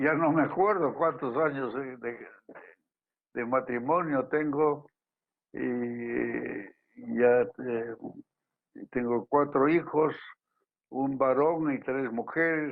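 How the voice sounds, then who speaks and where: Speaking at a very slow pace with long, frequent pauses, a man keeps a medium pitch and ordinary pitch variation. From Peru, Cusco. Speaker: physician and historian. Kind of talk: interview. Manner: halting, many repetitions.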